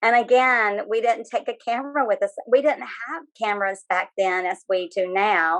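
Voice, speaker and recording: A woman with a Southern US accent speaks with ordinary pitch variation. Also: fairly high pitch for a woman, moderate pace. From North Carolina, US South. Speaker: author and former live Batgirl performer. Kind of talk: interview. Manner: hesitant, many fillers.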